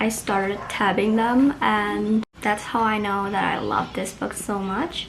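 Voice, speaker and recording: Noticeable background noise behind a woman with an Indonesian accent, her pitch fairly high and her pace very slow. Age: 20s. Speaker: book vlogger. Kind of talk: casual vlog book review.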